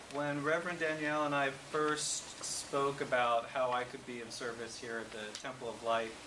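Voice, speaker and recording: A man talking with hardly any pauses, over noticeable background noise and audible room echo. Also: fairly high pitch for a man, fairly even intonation, moderate pace. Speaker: guest speaker and musician. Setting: church.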